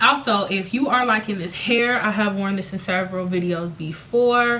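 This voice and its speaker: A woman of medium pitch speaks at a moderate pace with ordinary pitch variation, amid noticeable background noise and audible room echo. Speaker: beauty vlogger and hair seller. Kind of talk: casual vlog talk to camera. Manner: rambling, jumping topics.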